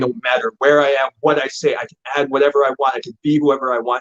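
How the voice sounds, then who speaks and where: Here is a man with an unremarkable speaking voice. He talks at a fairly quick pace with a fairly high pitch. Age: young. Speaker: actor. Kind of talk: interview.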